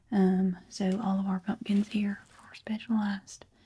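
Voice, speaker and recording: Soft-spoken and somewhat breathy, a woman of medium pitch talks in a dark, mellow tone with a Southern accent. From American South. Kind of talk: ASMR roleplay.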